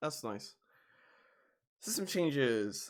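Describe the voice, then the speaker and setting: The recording is very clean, with a silent background. A man speaks at a medium pitch with lively intonation. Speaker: gaming YouTuber. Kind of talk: patch notes commentary.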